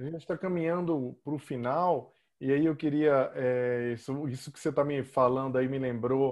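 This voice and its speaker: At a moderate pace, a man speaks at a medium pitch with ordinary pitch variation in a plain, everyday voice. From Brazil. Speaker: podcast host and author. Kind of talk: interview conversation.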